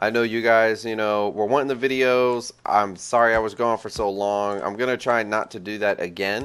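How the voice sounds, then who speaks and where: A man's fairly low-pitched, plain, everyday voice at a moderate pace, with fairly even intonation. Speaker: gaming video creator. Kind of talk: gameplay tutorial commentary; casual chat to viewers. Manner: casual, slangy.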